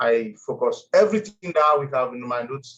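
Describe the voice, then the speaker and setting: The man's voice sits fairly high for a man and comes out somewhat breathy. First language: French. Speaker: former student sharing experience. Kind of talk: testimony. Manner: halting.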